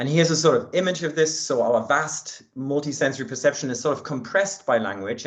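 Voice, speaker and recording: Speaking at a fairly quick pace, a man with a German accent has a fairly high pitch. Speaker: linguistics researcher. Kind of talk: academic talk. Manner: hesitant with fillers.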